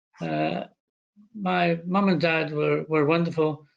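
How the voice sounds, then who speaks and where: At a fairly slow pace, a man talks in a Scottish accent. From Scotland, Glasgow area. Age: 70s. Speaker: retired doctor and former chief medical officer. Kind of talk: interview. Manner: hesitant.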